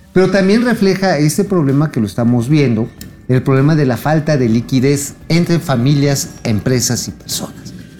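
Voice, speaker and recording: An animated tone at a moderate pace, amid noticeable background noise. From Mexico, State of Mexico (Tultitlán area). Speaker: financial news co-host. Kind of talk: casual chat about financial news.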